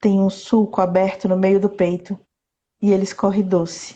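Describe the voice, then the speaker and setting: A woman's medium-pitched, somewhat breathy voice moves at a fairly slow pace. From southern Bahia, Brazil (Itabuna). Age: 30s. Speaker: poet. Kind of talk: casual interview chat; poetry reading. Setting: Instagram live video call.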